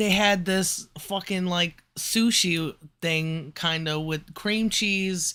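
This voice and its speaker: A man's high, bright, sharp voice at a very slow pace with fairly even intonation, very cleanly recorded against a silent background. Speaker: live streamer. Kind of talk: casual chat. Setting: live stream. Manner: slurred, rambling delivery.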